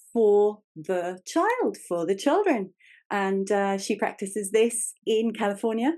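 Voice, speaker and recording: Against a quiet background, a woman with an English accent speaks very slowly in a fairly high pitch, with a dark, mellow tone and ordinary pitch variation. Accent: English accent, called funny. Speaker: podcast host. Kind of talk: interview conversation.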